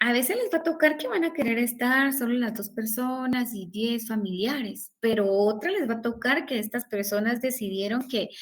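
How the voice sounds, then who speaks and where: Her voice sits fairly high. This woman keeps a moderate pace. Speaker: law professor. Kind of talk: lecture.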